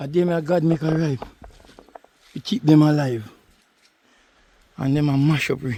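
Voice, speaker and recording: With a Jamaican accent, a man speaks at a fairly slow pace and a fairly high pitch. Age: old. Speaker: cattle farmer. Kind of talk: casual talk to camera.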